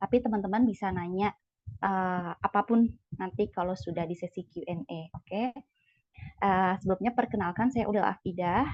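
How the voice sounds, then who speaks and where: Somewhat breathy, a woman speaks at medium pitch and a moderate pace with ordinary pitch variation. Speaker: CPNS exam coach, lecturer candidate. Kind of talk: online sharing session. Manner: disorganized, hesitant.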